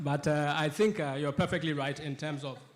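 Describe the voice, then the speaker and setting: A man with a fairly high pitch at a moderate pace. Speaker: political economist and panellist. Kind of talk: panel discussion. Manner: loud; halting, many false starts.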